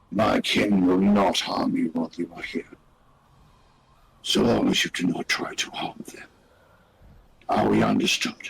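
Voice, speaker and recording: A raspy, put-on character voice from a man at a moderate pace, broken by long, frequent pauses. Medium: actual play. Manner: slow, formal, commanding.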